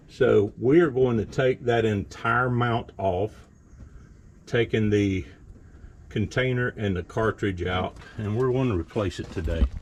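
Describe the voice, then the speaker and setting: At a fairly slow pace, a man speaks in an unremarkable speaking voice, fairly low in pitch with ordinary pitch variation. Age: 60s. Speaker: farmer and hobby mechanic. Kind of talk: tutorial. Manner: casual.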